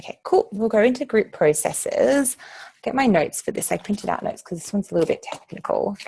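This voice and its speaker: A woman with an Australian accent, very fast pace and big swings in loudness. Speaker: activist group trainer. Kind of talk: training session. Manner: many filler ums.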